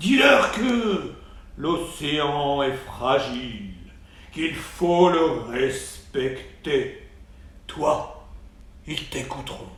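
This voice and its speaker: A man puts on a character voice, pitched fairly high, at a very slow pace. There is a slight echo. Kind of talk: bedtime story. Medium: read story. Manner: regal, authoritative.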